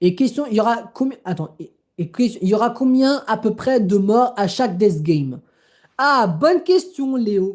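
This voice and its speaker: Her fairly high pitch and lively intonation come through as the woman speaks at a very slow pace. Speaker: livestreamer. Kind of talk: live stream chat. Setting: live stream. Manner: halting.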